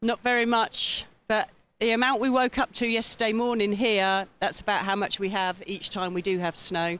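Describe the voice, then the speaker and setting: With an English accent, a woman speaks at a moderate pace in a fairly high pitch, her intonation fairly even and her loudness very even over a quiet background. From England, Olney (Buckinghamshire). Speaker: visiting guest. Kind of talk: TV interview.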